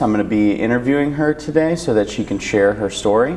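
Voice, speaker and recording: A man speaks at a moderate pace in an American accent, his pitch medium and his intonation lively. Noticeable background noise runs behind him. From Parma, Ohio. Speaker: senior center interviewer. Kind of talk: interview.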